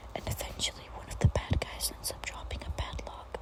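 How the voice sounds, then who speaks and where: A woman whispers at a fairly quick pace against noticeable background noise. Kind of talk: ASMR gameplay voiceover. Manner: whispered.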